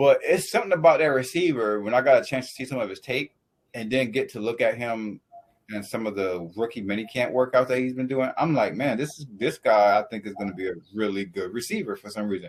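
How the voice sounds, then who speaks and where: A man with an American accent at a very fast pace, medium pitch, lively intonation and big swings in loudness. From US South. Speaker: sports podcast host. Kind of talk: casual chat.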